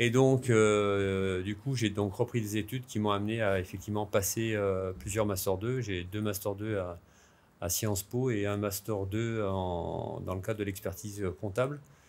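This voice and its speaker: Here a man speaks at a fairly slow pace with fairly even intonation. His voice is fairly low in pitch. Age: 60s. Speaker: sports federation president, former pro cyclist. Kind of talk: interview. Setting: equestrian centre, filmed podcast. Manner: halting, many filler hesitations.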